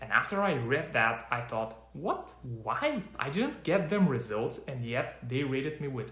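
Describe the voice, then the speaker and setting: With a non-native accent, a man speaks at a medium pitch and a moderate pace with lively intonation, amid audible room echo and noticeable background noise. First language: not English. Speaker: freelancer and online business coach. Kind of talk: talking-head advice video.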